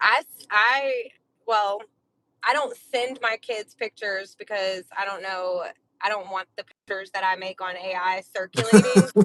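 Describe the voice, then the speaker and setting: Her medium-pitched voice is a normal speaking voice with ordinary pitch variation, delivered at a moderate pace. The woman's loudness swings widely, and the sound is dry and close with no echo. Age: 30s. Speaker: podcast co-host. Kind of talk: casual chat.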